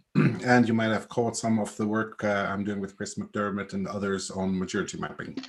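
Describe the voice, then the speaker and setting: With a Swiss accent, the speaker talks at a fairly quick pace with hardly any pauses and fairly even intonation over noticeable background noise. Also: man, fairly low pitch for a man. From Switzerland. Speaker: agile coach. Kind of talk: panel discussion.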